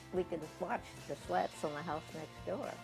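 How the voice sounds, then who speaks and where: Music plays in the background as a woman talks fairly slowly. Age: 80s+. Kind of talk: personal memoir storytelling.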